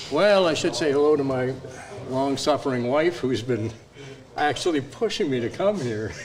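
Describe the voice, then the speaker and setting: A fairly high-pitched man talks at a middling speed with lively intonation as clear background noise plays. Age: 70s. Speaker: workshop participant, hobby woodworker. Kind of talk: casual interview.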